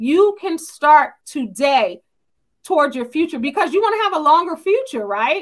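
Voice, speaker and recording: In an American accent, a woman speaks at a high pitch with very wide pitch swings and an animated tone. The background is quiet. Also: moderate pace. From US Northeast (New Jersey). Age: 50s. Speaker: YouTube talk show host. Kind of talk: live panel discussion. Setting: live video stream. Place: home room.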